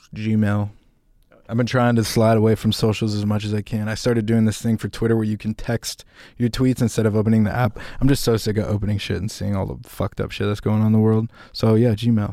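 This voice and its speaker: A man talks at a very fast pace in a fairly low pitch. His tone is dark and mellow, with monotone, flat intonation. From California. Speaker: music producer and rapper. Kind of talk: casual interview chat.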